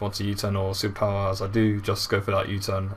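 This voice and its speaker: A man talks at a very fast pace. His voice is somewhat breathy and fairly low in pitch. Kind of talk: video game commentary.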